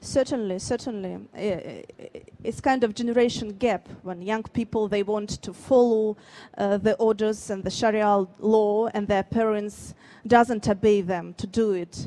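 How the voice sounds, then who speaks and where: A woman's fairly high voice in a Russian accent, dark and mellow in tone, fairly slow, with fairly even intonation. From Dagestan, Russia. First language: Avar. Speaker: writer. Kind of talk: panel Q&A at a book fair. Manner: halting, many fillers and restarts.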